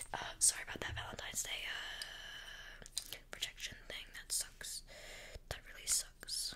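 A woman whispering at a fairly slow pace. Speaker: role-play content creator. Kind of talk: role-play chat addressed to viewer. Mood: playful, mock apologetic. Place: home room. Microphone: earbuds.

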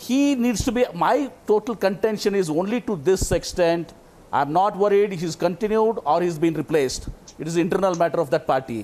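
Pitched high for a man, his voice moves at a moderate pace with lively intonation. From India, Karnataka. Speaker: politician. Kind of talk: heated debate. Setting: remote broadcast link. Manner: animated.

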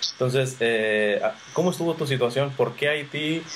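A man talks at a moderate speed while noticeable noise carries on in the background. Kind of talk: faith interview. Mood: warm, friendly, curious. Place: home room. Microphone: webcam.

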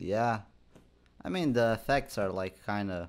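Fairly slow speech from a man, his pitch varying in an ordinary way. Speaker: gaming video creator. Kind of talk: casual gaming commentary. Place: home room.

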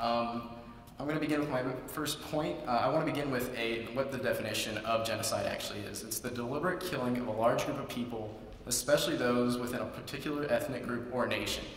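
A man talks at a very fast pace over light background noise, with audible room echo. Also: medium pitch for a man. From California. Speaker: student contestant. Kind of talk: persuasive speech. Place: hall. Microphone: podium.

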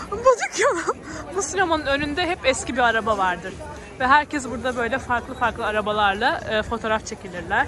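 A woman talks at a fairly quick pace with lively intonation, her voice dry with no echo against crowd noise in the background. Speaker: vlogger giving market tour. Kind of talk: casual vlog chat. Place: market. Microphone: phone near.

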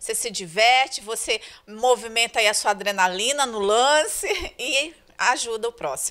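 Woman at fairly high pitch, moderate pace and ordinary pitch variation. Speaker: school staff organizer. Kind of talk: interview answers. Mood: cheerful, grateful. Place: home room. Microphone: handheld.

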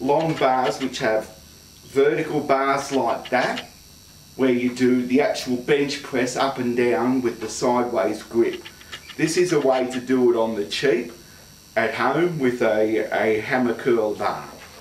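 Over light background noise and audible room echo, a man talks at a fairly slow pace with fairly even intonation. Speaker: fitness demonstrator. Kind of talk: tutorial. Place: gym. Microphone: camera far.

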